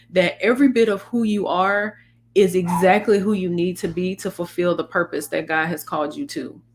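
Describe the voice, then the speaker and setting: A woman's medium-pitched voice at a fairly slow pace with fairly even intonation. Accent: Southern US. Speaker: faith-based life coach and podcast host. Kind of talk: casual podcast conversation. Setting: live-streamed podcast. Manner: stumbles over words.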